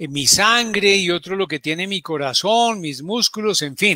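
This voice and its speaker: A man's high voice, raised and projected with a bright, sharp tone, comes through dry and close with no echo on a very clean recording with a silent background. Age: 60s. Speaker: doctor giving health talks. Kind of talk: health talk. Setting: live broadcast.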